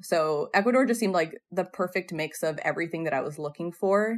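On a very clean recording with a silent background, a woman with an American accent speaks at a moderate pace in a medium pitch with ordinary pitch variation, in an unremarkable speaking voice. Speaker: former Peace Corps health volunteer. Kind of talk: podcast interview.

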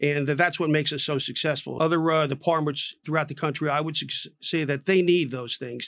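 Fairly high in pitch, a man speaks at a fairly quick pace with fairly even intonation. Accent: American. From Newark, New Jersey. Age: 60s. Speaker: retired police chief. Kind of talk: radio interview. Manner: halting, many fillers.

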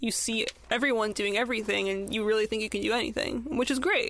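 In an American accent, a woman with an unremarkable speaking voice talks at a fairly quick pace, her fairly high pitch held in fairly even intonation. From Southern California. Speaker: podcaster and filmmaker. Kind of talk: casual chat.

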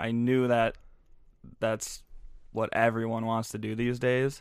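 A man with a Minnesota accent speaks at medium pitch and a fairly slow pace. His intonation is monotone and flat, on a very clean recording with a silent background. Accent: Upper Midwest (Minnesota) American. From Minnesota, Twin Cities. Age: 20s. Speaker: clothing brand founder and social media coordinator. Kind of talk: casual interview chat.

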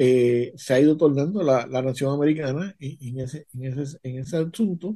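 This man sounds somewhat breathy. His tone is dark and mellow. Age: 60s. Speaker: podcast guest. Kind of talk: casual chat.

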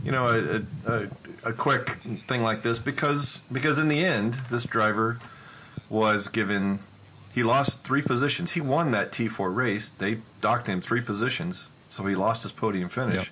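An unremarkable speaking voice with an American accent, ordinary pitch variation and a moderate pace. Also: man, medium pitch for a man. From Texas. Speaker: amateur race car driver. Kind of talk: casual chat.

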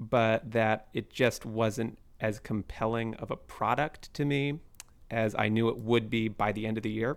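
In an American accent, a man speaks at a medium pitch and a fairly slow pace, with an unremarkable speaking voice. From Seattle area, US Pacific Northwest. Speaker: sports writer and editor. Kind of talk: casual chat. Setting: remote call.

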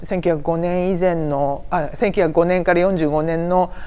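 A woman speaks in a fairly low voice, and the room echo is audible. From Saitama, Kanto. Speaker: museum researcher. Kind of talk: interview.

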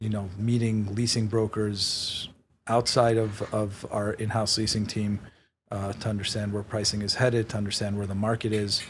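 In a New York accent, a man speaks at a moderate pace with a fairly low pitch. His voice is somewhat breathy and his intonation monotone and flat. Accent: New York American. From New York City (Queens, Manhattan). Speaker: real estate executive. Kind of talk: interview. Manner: hesitant, many fillers.

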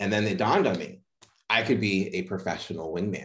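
With an American accent, a man speaks fairly quickly in an unremarkable speaking voice, fairly low in pitch with fairly even intonation, against a quiet background. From Boston, Massachusetts. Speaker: mindset and playfulness coach. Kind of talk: interview conversation.

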